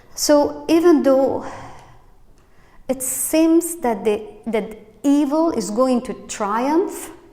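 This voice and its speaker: A woman speaks with very wide pitch swings. There is audible room echo. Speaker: pastor. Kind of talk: sermon. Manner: slow; halting.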